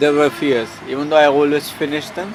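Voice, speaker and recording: Over noticeable background noise, a man with an Indian accent speaks at a fairly high pitch. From India (Haryana). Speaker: long-distance walker and traveler. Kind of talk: interview answer. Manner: soft-spoken.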